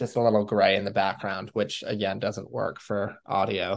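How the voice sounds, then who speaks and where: A man with a normal speaking voice talks at a fairly slow pace and a fairly low pitch. His intonation stays fairly even over a quiet background. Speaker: podcast host. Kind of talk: casual chat.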